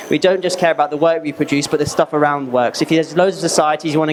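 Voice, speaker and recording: Over noticeable background noise, a man talks at a very fast pace in a fairly high pitch with ordinary variation. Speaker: apprentice in finance, former footballer. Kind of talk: presentation to school students. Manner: loud.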